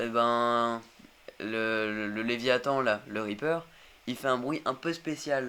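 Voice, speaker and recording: A man talks at a very slow pace in a medium pitch with a bright, sharp tone and fairly even intonation, on a very clean recording with a silent background. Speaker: gaming youtuber. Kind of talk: let's play commentary. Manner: hesitant, many fillers.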